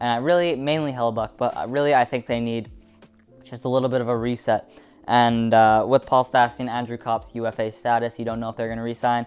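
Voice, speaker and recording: Speech goes by at a very fast pace. Music plays in the background. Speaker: hockey YouTuber. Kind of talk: casual commentary video.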